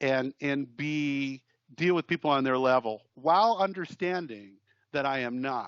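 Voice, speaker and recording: A man speaks with an American accent at a fairly high pitch. His pace is moderate and his pitch variation ordinary. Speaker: musician and producer. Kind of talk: casual chat. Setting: remote call. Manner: loud; halting.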